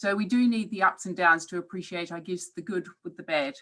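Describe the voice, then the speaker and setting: With a New Zealand accent, a woman speaks in a bright, sharp tone with ordinary pitch variation. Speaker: professor. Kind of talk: webinar talk. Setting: online webinar.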